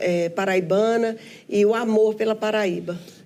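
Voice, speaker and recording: A woman with a dark, mellow tone speaks at a fairly high pitch and a fairly slow pace, with ordinary pitch variation. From Brazil, Minas Gerais (Belo Horizonte). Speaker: businesswoman and union leader. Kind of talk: interview. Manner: halting.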